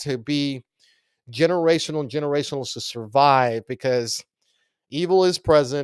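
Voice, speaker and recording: A man with an American accent speaks at a fairly high pitch, the sound dry and close with no echo on a very clean recording with a silent background. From Texas, Del Rio (border). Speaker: political talk show host. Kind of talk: political commentary livestream monologue. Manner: animated, impassioned.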